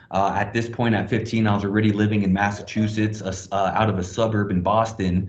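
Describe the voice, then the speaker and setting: A man's fairly low, somewhat breathy voice, monotone and flat at a fairly quick pace, with audible room echo. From Hong Kong. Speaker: blockchain project presenter. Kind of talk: online presentation. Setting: video call from a small office closet.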